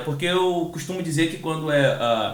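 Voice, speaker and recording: A man with a Rio de Janeiro accent and a high pitch at a moderate pace, amid noticeable background noise and audible room echo. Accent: carioca accent, hissing s. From Rio de Janeiro, Brazil. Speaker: podcast host. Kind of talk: casual interview. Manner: hesitant, fillers.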